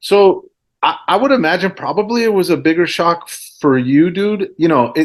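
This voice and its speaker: A man is speaking. He has a Spanish accent. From Central Florida, born in Mexico City. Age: 40s. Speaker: DJ and hip-hop artist. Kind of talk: casual chat.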